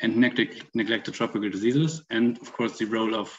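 Moderate pace and ordinary pitch variation from a man, quiet background behind him. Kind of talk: opening speech. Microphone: video call.

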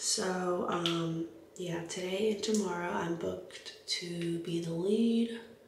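A woman talks in a flat monotone, with light background noise and audible room echo. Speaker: makeup artist vlogger. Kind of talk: casual vlog chat. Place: home room. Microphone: camera far.

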